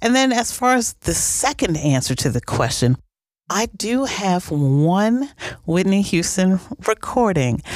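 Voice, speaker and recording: In an American accent, this voice moves at a fairly slow pace with very wide pitch swings and very even loudness. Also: woman, medium pitch for a woman. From New Orleans, US South. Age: 40s. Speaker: DJ and podcast host. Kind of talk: solo Q&A podcast monologue.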